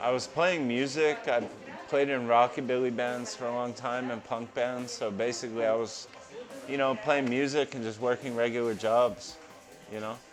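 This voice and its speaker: With music in the background and audible room echo, a man with an American accent speaks at medium pitch and a moderate pace, his intonation fairly even. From New Jersey, near Philadelphia. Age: 30s. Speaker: barber. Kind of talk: interview.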